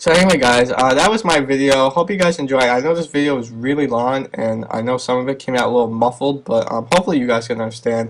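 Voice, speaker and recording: This man speaks very fast at a medium pitch, with ordinary pitch variation. Noticeable background noise runs underneath. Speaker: video blogger. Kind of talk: casual vlog commentary. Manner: hesitant, many fillers. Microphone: some audio muffled.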